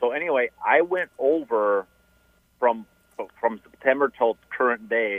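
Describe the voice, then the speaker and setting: In a normal speaking voice, a man talks at a fairly slow pace with medium pitch, ordinary pitch variation, and very even loudness. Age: 40s. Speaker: radio caller. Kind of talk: call-in question on a finance radio show. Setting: phone call.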